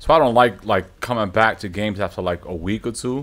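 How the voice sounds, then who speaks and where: Speaking with an American accent, a man talks at a fairly quick pace in an animated tone. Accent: Brooklyn New York accent, slightly fading. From New York. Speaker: gaming streamer. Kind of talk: live gameplay stream chat. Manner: casual, animated. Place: home room. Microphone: studio mic.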